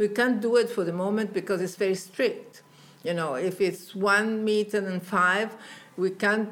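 Speaking with an Italian accent, a woman keeps a medium pitch, a moderate pace and fairly even intonation. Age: old. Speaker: fashion designer. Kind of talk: interview. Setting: designer's showroom.

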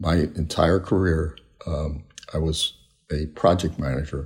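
With an American accent, a man speaks at a very deep, low pitch. His voice is somewhat breathy and his pace fairly slow. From Philadelphia. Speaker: storyteller. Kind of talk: personal story. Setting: video call.

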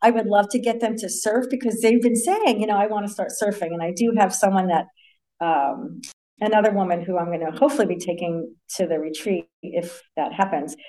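Speaking at a moderate pace and medium pitch, this woman has an unremarkable speaking voice. Her intonation is lively. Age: 60s. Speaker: triathlete and surfer, women's fitness business owner. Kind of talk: casual interview chat.

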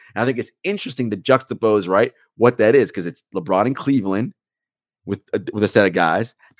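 Recorded very cleanly against a silent background, with a dry, close sound and no echo, a man speaks at a moderate pace with a fairly low pitch. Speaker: sports podcast host. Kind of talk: casual sports banter.

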